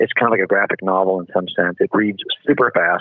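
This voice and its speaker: A man with a plain, everyday voice speaks at a fairly quick pace with fairly even intonation. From United States. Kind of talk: interview.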